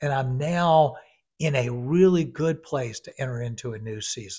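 Somewhat breathy and fairly high in pitch, a man speaks at a fairly slow pace with ordinary pitch variation, on a very clean recording with a silent background. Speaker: podcast host and life coach. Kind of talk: casual chat. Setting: studio.

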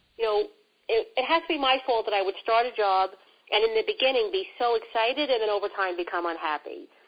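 Very fast and fairly high-pitched, a woman with a strong New York accent talks with very wide pitch swings. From New York City. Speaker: career coach. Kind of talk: casual interview conversation.

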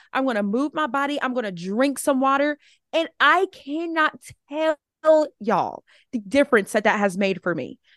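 A high-pitched woman with an American accent speaks at a moderate pace with lively intonation, in a dry, close sound with no echo and a quiet background. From Alabama. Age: 20s. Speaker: social media content creator. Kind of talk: casual chat.

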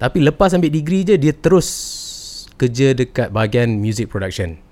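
His is a plain, everyday voice with lively intonation. The man speaks at a moderate pace. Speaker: podcast host. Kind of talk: casual interview chat.

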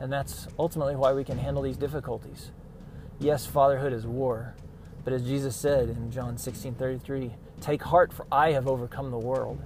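A man speaks in a medium pitch at a moderate pace. His voice is somewhat breathy, with monotone, flat intonation. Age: 40s. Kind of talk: solo devotional monologue. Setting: in a car. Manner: hesitant, many fillers.

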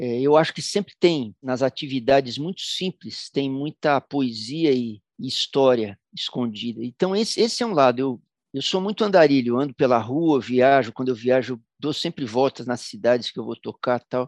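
A man's moderate-paced speech in a São Paulo accent, with ordinary pitch variation and hardly any pauses, dry and close with no echo over a quiet background. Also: medium pitch for a man. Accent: Paulistano Brazilian Portuguese. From São Paulo, Brazil. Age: 60s. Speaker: musician. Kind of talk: interview storytelling.

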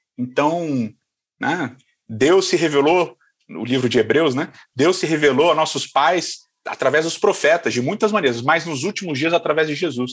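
Here is a man with an unremarkable speaking voice and a fairly high pitch. His intonation is lively and his pace moderate. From Rio de Janeiro, Brazil. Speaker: pastor. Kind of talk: casual interview chat.

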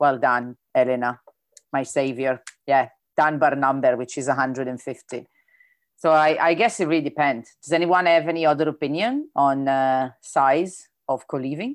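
A woman with an Italian accent speaks at a fairly slow pace, her pitch very deep and low with ordinary variation. Her tone is animated and enthusiastic, and the background is quiet. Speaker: event host. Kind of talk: casual moderated Q&A. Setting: video call. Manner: animated, enthusiastic.

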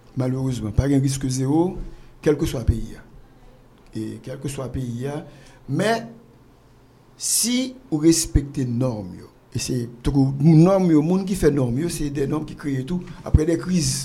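Amid audible room echo, a man with fairly high pitch, ordinary pitch variation and a dark, mellow tone speaks at a fairly slow pace with long, frequent pauses and big swings in loudness. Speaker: pharmaceutical entrepreneur. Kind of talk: interview. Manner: halting.

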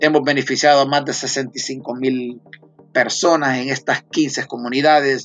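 A man speaks at a very slow pace in a fairly high voice. His intonation is monotone and flat. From Honduras. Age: 40s. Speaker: nonprofit foundation president. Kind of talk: interview.

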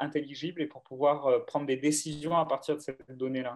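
A man speaks at a moderate pace. He has an ordinary speaking voice. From southern France, Aubagne near Marseille. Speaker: data science manager. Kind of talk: interview.

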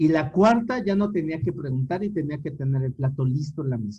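A man speaks in a fairly high pitch with lively intonation. His tone is dark, mellow and somewhat breathy. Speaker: podcast co-host. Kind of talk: casual chat.

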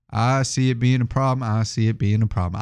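A man at medium pitch, fairly quick in pace, with ordinary pitch variation against a quiet background. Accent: American. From Houston, Texas. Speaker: sports podcast co-host. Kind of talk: casual chat. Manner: animated.

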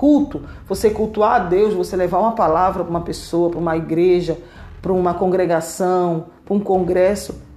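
At a moderate pace, a woman speaks at a medium pitch with ordinary pitch variation against noticeable background noise. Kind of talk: sermon-style Bible teaching. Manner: earnest, exhorting, direct appeals to listener; repetitive, emphatic, fervent.

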